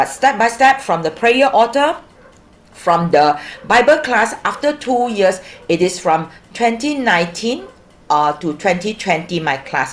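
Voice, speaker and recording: Her pitch leaping up and down a great deal, a woman talks fairly slowly. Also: medium pitch for a woman. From Malaysia, Ipoh. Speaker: church member sharing testimony. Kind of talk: testimony. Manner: halting.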